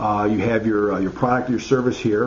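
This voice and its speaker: Light background noise accompanies a man speaking at a fairly quick pace. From US Midwest, Chicago. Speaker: marketing consultant. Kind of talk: tutorial. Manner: halting, many fillers. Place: home room. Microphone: webcam.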